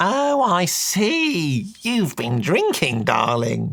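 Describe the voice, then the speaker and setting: A man puts on a character voice at a high pitch. He speaks at a very slow pace with very wide pitch swings. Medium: audio drama. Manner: meek, fussy, affectionate.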